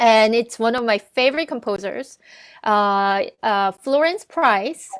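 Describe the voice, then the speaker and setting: A woman speaks very slowly at a fairly high pitch with a non-native accent. Her pitch varies in an ordinary way. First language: not English. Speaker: arts organization director and musician. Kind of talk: casual chat. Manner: halting.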